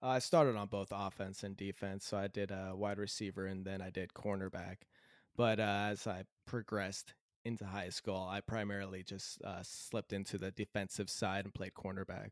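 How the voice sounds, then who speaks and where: The recording is very clean, with a silent background and a dry, close sound with no echo. A man with an American accent speaks at a moderate pace and a fairly low pitch, in a monotone, flat intonation. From Southern California. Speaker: new podcast panelist. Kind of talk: casual chat.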